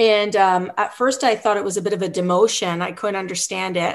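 Speaking with a Canadian accent, a woman keeps a medium pitch and monotone, flat intonation at a moderate pace. The background is quiet. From British Columbia, Canada. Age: 40s. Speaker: professor and soccer coach. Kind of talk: interview.

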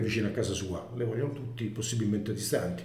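A man's medium-pitched voice, with fairly even intonation, comes through noticeable background noise and audible room echo. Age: 60s. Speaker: former finance executive of infrastructure company. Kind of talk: interview. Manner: halting.

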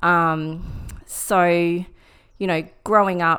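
The voice carries an Australian accent with fairly even intonation. The recording is very clean, with a silent background. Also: woman. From Brisbane, Australia. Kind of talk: casual interview, personal testimony. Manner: hesitant, many fillers.

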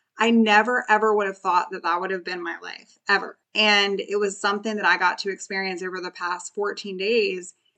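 With a bright, sharp tone and a medium pitch, a woman talks at a moderate pace with hardly any pauses. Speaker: podcast host and eating disorder recovery coach. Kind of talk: motivational solo podcast talk. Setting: studio microphone. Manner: animated; warm.

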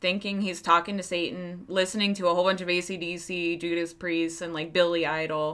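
In a Pennsylvania accent, a woman speaks at fairly low pitch and a moderate pace, her bright, sharp tone carried by fairly even intonation. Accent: Pennsylvania twang. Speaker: true crime podcast host. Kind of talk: casual storytelling.

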